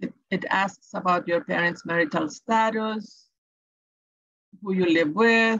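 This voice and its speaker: A woman with a Salvadoran accent speaks at a very slow pace, with long, frequent pauses. Her pitch variation is ordinary. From El Salvador. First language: Spanish. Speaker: education advisor. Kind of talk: tutorial. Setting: webinar.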